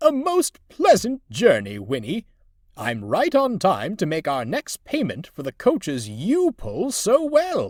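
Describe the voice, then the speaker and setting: Using a put-on character voice, a man talks at a fairly slow pace with a high pitch, in a very clean recording with a silent background and a dry, close sound with no echo. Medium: read story. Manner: formal, pompous.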